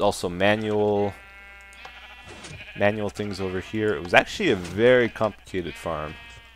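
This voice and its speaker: With music in the background, a man of fairly low pitch speaks at a moderate pace in fairly even intonation, taking long, frequent pauses. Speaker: gaming video creator. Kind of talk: let's play commentary.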